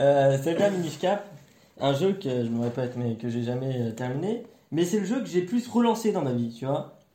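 A fairly high-pitched male voice with very wide pitch swings at a fairly slow pace, amid audible room echo. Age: young. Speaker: podcast co-host. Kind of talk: casual chat.

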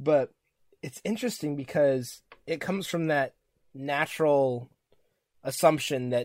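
A man with a squeaky, fairly high voice and lively intonation. The recording is very clean and the background silent. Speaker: podcast host. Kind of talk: casual chat.

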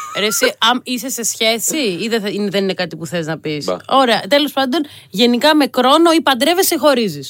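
A high-pitched woman speaks at a moderate pace with very wide pitch swings, noticeable background noise behind her. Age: 30s. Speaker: youth astrologer. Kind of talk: casual chat.

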